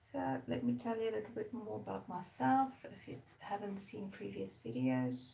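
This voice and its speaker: Speaking in a South African accent, a woman uses a very deep, low pitch with very wide pitch swings at a moderate pace. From South Africa, Durban. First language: Zulu. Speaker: artist. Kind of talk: casual live-stream chat while painting. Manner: relaxed, chatty.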